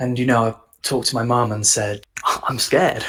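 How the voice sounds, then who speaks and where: At a moderate pace, a man with medium pitch speaks in an English accent. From England. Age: 20s. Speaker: copywriter. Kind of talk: casual chat. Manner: halting.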